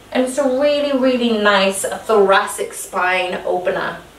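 Audible room echo surrounds a woman speaking very slowly at a high pitch. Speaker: fitness instructor. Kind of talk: exercise class instruction. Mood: calm, encouraging. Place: home room. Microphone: camera far.

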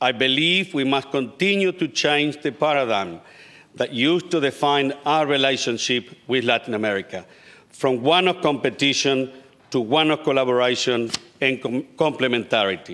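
A man with a Spanish accent speaks at a moderate pace and medium pitch, with ordinary pitch variation and very even loudness. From Uruguay. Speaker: state politician. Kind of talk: parliamentary speech. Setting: parliament chamber. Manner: formal. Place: hall. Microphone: podium.

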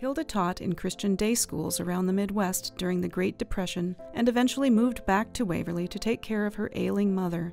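Over music in the background, the speech runs at a fairly quick pace with hardly any pauses and ordinary pitch variation. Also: woman, medium pitch for a woman. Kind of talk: documentary narration.

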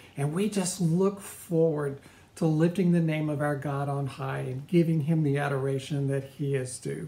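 At a moderate pace, a somewhat breathy man speaks with fairly even intonation. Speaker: pastor. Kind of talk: welcome announcement and prayer. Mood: warm, welcoming. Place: home room. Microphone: phone near.

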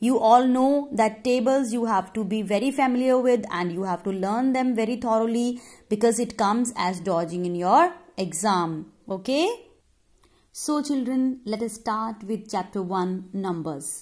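A somewhat breathy woman with an Indian accent, at a fairly slow pace, ordinary pitch variation, over a quiet background. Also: fairly high pitch for a woman. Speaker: primary school teacher. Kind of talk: online lesson for children. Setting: recorded video lesson. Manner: slow, instructive. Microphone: phone near.

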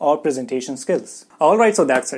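A man's dark, mellow tone with lively intonation. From India. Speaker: food technology educator YouTuber. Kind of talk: educational vlog monologue. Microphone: lapel.

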